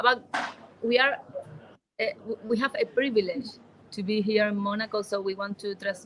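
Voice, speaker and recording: Her intonation stays fairly even as this woman speaks at a fairly high pitch. She leaves long, frequent pauses. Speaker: charity association member. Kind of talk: interview. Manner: halting.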